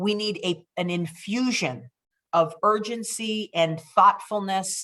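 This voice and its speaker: A woman's very slow, passionate speech with ordinary pitch variation. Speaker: district attorney. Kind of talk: interview. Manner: loud; urgent, passionate.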